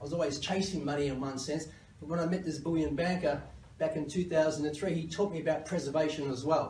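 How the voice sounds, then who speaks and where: Over noticeable background noise and audible room echo, a man with fairly high pitch talks at a very fast pace with fairly even intonation. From Australia. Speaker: company CEO. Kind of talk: conference presentation.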